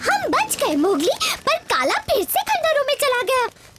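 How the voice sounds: An extremely high, cartoonish character voice speaks at a moderate pace. Loud noise fills the background.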